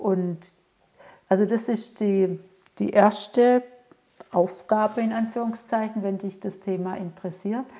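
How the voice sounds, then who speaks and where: A woman speaks in a dark, mellow tone. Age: 50s. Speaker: mentor and coach for women. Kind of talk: solo podcast monologue.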